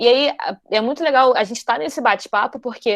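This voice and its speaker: A woman speaks at a fairly quick clip with a high voice and lively intonation. The sound is dry and close, without any echo. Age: 20s. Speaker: computer science student and talk presenter. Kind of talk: online talk to an audience. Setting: video call. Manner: fast.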